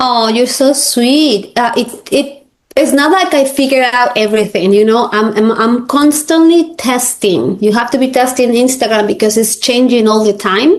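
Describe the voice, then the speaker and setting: A woman with a Spanish accent speaks in a high voice at a moderate pace, keeping ordinary pitch variation, very even loudness and hardly any pauses. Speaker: realtor and coach. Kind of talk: interview. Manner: halting.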